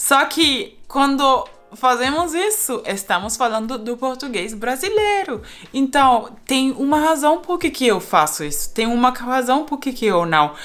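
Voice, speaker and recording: A woman's high-pitched voice at a fairly slow pace. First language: not Portuguese; learned Brazilian Portuguese (speaking Portuguese). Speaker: polyglot YouTuber. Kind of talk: casual vlog monologue. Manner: halting, with fillers.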